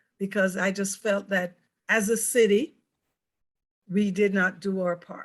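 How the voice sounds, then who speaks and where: With a Jamaican accent, a woman talks at a medium pitch and a fairly slow pace. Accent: Jamaican accent, deliberately kept. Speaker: mayor. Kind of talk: panel discussion.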